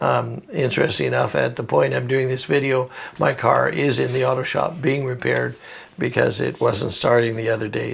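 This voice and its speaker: This man's fairly quick speech competes with noticeable background noise. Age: 70s. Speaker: financial sales trainer. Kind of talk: tutorial. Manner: hesitant, many fillers.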